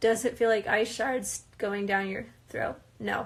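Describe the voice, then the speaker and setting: A woman is speaking. Her pace is fairly slow. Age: 20s. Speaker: reality TV participant. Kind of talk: live Q&A stream. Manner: casual, hesitant with fillers.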